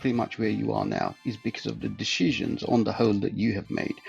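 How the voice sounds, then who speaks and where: With music in the background, a man speaks at a very fast pace. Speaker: podcast guest. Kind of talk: interview answer.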